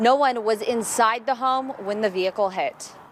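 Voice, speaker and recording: Fairly high-pitched woman with an American accent, at a moderate pace, over noticeable background noise. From Southern California. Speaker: TV news reporter. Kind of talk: TV news report.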